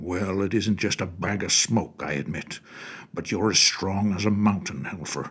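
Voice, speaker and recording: A man puts on a character voice. He keeps a fairly low pitch and a moderate pace. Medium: read story. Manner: gruff, know-it-all.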